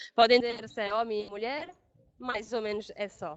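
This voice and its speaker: Loud background noise surrounds a woman speaking at a fairly high pitch. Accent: European Portuguese. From Portugal. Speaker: pre-sales engineer. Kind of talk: webinar product presentation; webinar presentation. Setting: online webinar. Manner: halting, many fillers and restarts. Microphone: video call.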